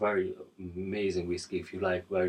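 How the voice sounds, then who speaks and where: Speaking with a non-native accent, a man delivers his words in a very deep, low pitch, somewhat breathy and in a monotone, flat intonation. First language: not English. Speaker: guitar reviewer. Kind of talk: product review. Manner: halting, repeats words; casual.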